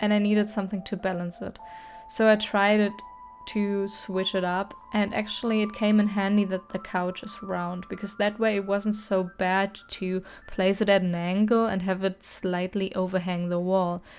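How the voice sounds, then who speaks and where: With music playing behind her, a woman speaks in a German accent at a medium pitch. Her intonation is monotone and flat. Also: moderate pace. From Germany. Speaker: gaming YouTuber. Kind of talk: casual gameplay commentary.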